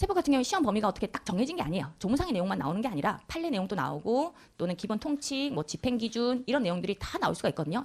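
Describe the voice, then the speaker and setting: A woman speaks at a very fast pace and fairly high pitch, with vocal fry. Her pitch swings very widely. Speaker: tax law lecturer, accountant. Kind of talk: lecture.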